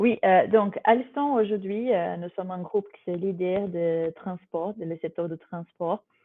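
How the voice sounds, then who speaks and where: Speaking with a Brazilian accent, a woman at medium pitch talks at a fairly slow pace with ordinary pitch variation, hardly any pauses and big swings in loudness. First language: Portuguese (speaking French). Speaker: corporate HR digital manager. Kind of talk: webinar presentation. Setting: live online webinar. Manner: hesitant, many fillers.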